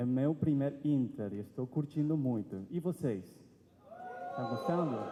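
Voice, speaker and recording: With an Argentine accent, a man with a fairly high pitch talks at a fairly slow pace with long, frequent pauses, ordinary pitch variation and noticeable background noise. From Argentina, Buenos Aires. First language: Spanish (speaking Portuguese). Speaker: seminarian preacher. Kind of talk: sermon.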